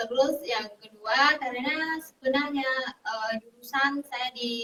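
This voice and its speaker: A woman with a high pitch and a bright, sharp tone speaks at a fairly slow pace with fairly even intonation. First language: Vietnamese (speaking Indonesian). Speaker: university language lecturer. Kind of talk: interview. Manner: halting, many fillers.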